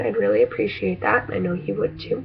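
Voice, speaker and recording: Fairly quick speech from a woman, with noticeable noise in the background. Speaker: video blogger. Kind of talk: casual vlog monologue. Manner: stuttering, hesitant with many fillers.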